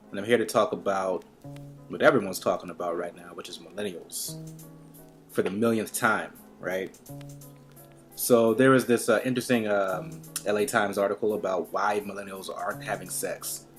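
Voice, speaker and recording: Over music in the background, a man with a fairly low pitch speaks with ordinary pitch variation, big swings in loudness, and long, frequent pauses. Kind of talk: casual talk to camera. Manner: fast; rambling, stream of consciousness.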